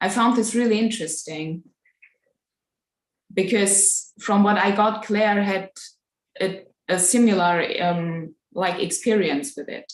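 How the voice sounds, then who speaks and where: A woman with a non-native accent speaks at a medium pitch and a fairly slow pace. Her pitch varies in an ordinary way, with long, frequent pauses. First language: not English. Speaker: live chat participant. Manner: halting.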